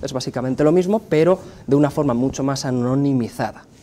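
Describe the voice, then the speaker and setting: A man speaks with a Spanish accent at a medium pitch, with ordinary pitch variation. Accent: Spanish (Spain). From Spain. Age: 30s. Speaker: pollster and communication professor. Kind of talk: interview.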